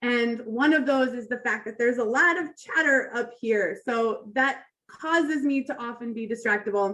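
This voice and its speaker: A woman talks loudly at a high pitch, with a bright, sharp tone and hardly any pauses. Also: ordinary pitch variation, moderate pace. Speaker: toastmasters club speaker. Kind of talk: prepared speech. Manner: animated.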